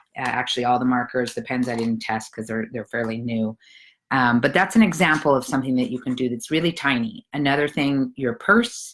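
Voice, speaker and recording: A woman's very deep, low voice in a very clean recording over a silent background, fairly quick in pace, with ordinary pitch variation. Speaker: organizing coach. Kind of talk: live video pep talk.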